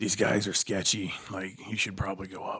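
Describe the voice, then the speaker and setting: A raspy, whispered put-on character voice moves along at a moderate pace. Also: man. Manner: whispering.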